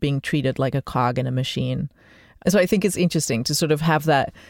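At a fairly quick pace, the voice shows vocal fry and ordinary pitch variation, in a very clean recording with a silent background. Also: woman. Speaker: radio host. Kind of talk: interview.

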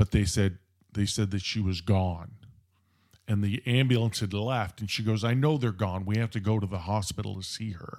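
A man with an American accent speaks in a plain, everyday voice at a fairly low pitch and a moderate pace, with ordinary pitch variation. The recording is very clean, with a silent background. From Southern California (Orange County). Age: 60s. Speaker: paramedic supervisor. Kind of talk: casual interview storytelling.

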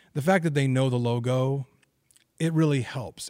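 On a very clean recording with a silent background, a man with an American accent talks at a moderate pace. His medium-pitched voice is somewhat breathy. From Oregon, Albany. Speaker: sports broadcaster. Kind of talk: casual chat.

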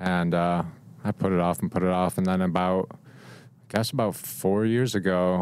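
In an American accent, a man speaks at a very deep, low pitch with ordinary pitch variation. His pace is moderate and his loudness very even. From Rochester, New York. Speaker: photographer. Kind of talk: casual interview. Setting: studio.

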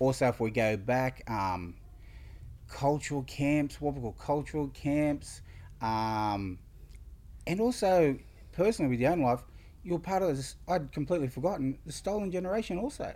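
Pausing long and often, a man with an Australian accent speaks in a dark, mellow tone at a fairly high pitch, his pitch swinging very widely. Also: moderate pace, very clean recording, silent background. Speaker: community podcast host. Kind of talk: interview.

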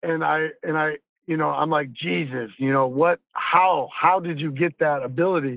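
A man talks with a plain, everyday voice. His pitch is fairly high and his pace moderate. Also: ordinary pitch variation. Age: 50s. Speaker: podcast host. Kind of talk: casual chat.

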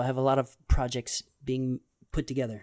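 In a very clean recording with a silent background and a dry, close sound with no echo, a man speaks. He has an American accent and an animated tone at a fairly quick pace. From Texas. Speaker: comic book writer. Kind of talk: casual chat. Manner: fast talker; animated, laughs often.

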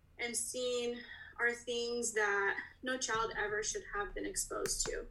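With an American accent, a woman speaks at a high pitch with a bright, sharp tone, ordinary pitch variation and audible room echo. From Russia, adopted to US around age 11. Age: 30s. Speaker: podcast guest sharing adoption story. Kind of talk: personal testimony.

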